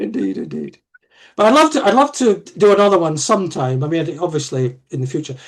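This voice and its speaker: A man with a high pitch speaks at a fairly quick pace, his pitch swinging very widely. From Scotland, Aberdeen. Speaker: history professor. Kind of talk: casual chat. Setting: video call. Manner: halting, many repetitions.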